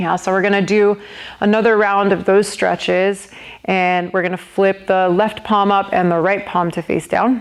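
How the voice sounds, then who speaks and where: At a fairly slow pace, a woman speaks in an ordinary speaking voice at medium pitch with fairly even intonation. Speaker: yoga instructor. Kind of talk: guided yoga class.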